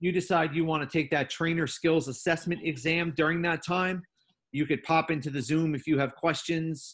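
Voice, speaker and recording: This man has a normal speaking voice, pitched fairly high. He keeps a moderate pace and fairly even intonation. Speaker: teacher trainer. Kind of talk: online training session. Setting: video call.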